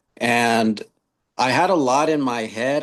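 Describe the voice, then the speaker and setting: A man with a Spanish accent speaks at a very slow pace. His pitch varies in an ordinary way over a quiet background. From US West Coast, Long Beach, California. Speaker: author and youth mentor. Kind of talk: podcast interview.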